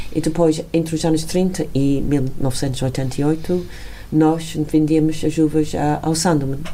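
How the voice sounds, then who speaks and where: Very slow speech in a strong English accent comes with monotone, flat intonation and audible room echo. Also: woman, very deep, low pitch for a woman, very even loudness. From England. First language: English (speaking Portuguese). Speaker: wine estate owner. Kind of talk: interview. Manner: halting.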